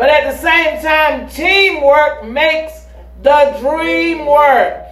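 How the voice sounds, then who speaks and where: Noticeable background noise plays under speech delivered at a very slow pace. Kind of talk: sermon, teaching from the pulpit. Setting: church with congregation. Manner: call-and-response, pausing on key words for the congregation to fill in; emphatic, exhorting and fervent.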